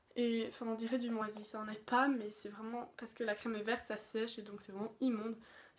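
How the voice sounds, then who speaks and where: Flat, monotone intonation runs through this woman's speech. Her pitch is fairly high. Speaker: beauty youtuber. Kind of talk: product review. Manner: fast; casual, many fillers.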